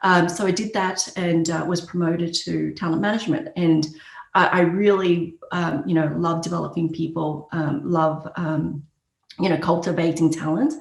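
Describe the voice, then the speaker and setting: With an Australian accent, a woman speaks at a fairly low pitch and moderate pace, her intonation fairly even and her voice showing vocal fry, with audible room echo. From Australia, Brisbane. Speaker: HR executive. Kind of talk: podcast interview. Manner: many fillers and hesitations.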